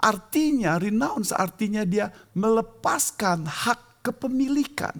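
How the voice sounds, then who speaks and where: The man's pitch swings very widely as he talks. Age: 60s. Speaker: preacher. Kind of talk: sermon.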